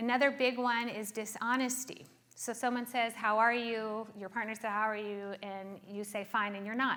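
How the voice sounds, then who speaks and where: In a room with audible echo, a woman with a fairly high pitch and a bright, sharp tone speaks at a moderate pace in a monotone, flat intonation with hardly any pauses. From South Africa. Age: 40s. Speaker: therapist. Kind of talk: talk to a conference audience. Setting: stage with audience.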